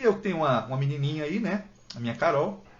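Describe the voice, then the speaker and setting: Audible room echo surrounds a man speaking at a fairly quick pace. His somewhat breathy voice has lively intonation. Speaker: book content creator. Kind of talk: live stream Q&A chat. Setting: Instagram live from home. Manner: fast; talkative. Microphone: poor internet, may freeze.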